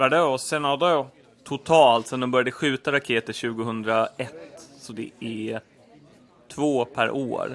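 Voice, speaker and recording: A man at medium pitch speaks with fairly even intonation in an unremarkable speaking voice. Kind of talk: scripted two-character comedy dialogue, both voices by one person. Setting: home recording, low quality.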